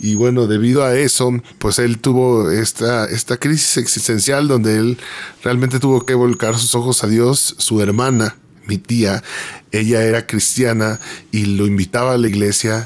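The speaker talks at a fairly slow pace in a Mexican accent. Loudness stays very even and the intonation is fairly even. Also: man, medium pitch for a man. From Mexico City. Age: 30s. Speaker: graphic designer and worship singer-songwriter. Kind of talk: personal testimony interview. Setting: radio studio.

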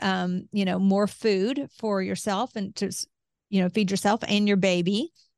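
Recorded dry and close with no echo against a quiet background, a woman with a medium pitch and a normal speaking voice talks at a moderate pace. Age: 50s. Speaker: advocacy group president and podcast host. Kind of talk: interview.

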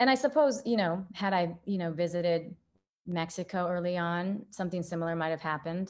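A woman with an American accent speaks at a fairly quick pace in a fairly low pitch, her pitch varying in an ordinary way against a quiet background. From rural northern Illinois, US Midwest. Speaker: artist. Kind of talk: interview conversation. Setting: video call.

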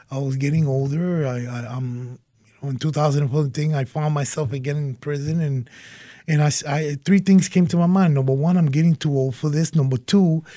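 A man's fairly high, somewhat breathy voice with a dark, mellow tone, fairly even intonation and a fairly quick pace. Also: very clean recording, silent background. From Puerto Rico, later Yonkers NY and Springfield MA. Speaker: former prisoner, now sheriff's department staff. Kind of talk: interview. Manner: halting, repeats words.

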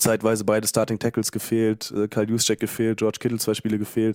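A man speaks at a medium pitch with a dark, mellow tone, recorded dry and close with no echo. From Germany, Bielefeld. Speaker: fan club board member and editor. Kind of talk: casual podcast chat.

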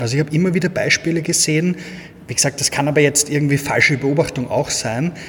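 In a Viennese accent, the speaker is heard over noticeable background noise. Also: man. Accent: Viennese Austrian German. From Austria, Vienna. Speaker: agency owner, SEO expert. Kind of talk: casual interview.

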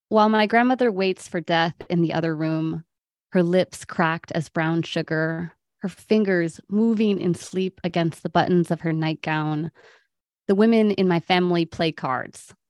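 A woman speaks in a plain, everyday voice, with a fairly low pitch and ordinary pitch variation. Her pace is moderate, and the sound is dry and close with no echo. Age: 30s. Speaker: poet. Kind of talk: poetry reading, intimate and solemn; casual interview chat. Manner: measured, hushed, tender.

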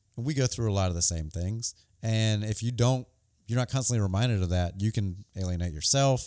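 The man's dark, mellow voice moves along at a fairly quick pace. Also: fairly low pitch for a man, ordinary pitch variation, very even loudness, very clean recording, silent background. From Alabama, Wiregrass area (Dothan). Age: 30s. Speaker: podcast host. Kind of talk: casual chat.

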